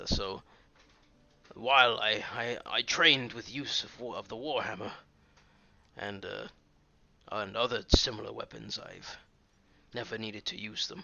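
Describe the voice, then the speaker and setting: A man puts on a raspy character voice at medium pitch. He keeps a moderate pace, broken by long, frequent pauses. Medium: actual play. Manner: hesitant, earnest.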